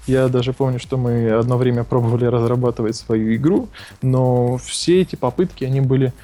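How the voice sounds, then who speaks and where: A man's voice sits at medium pitch, dark and mellow in tone. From Ukraine, Odesa. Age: 20s. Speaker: startup co-founder. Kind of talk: interview.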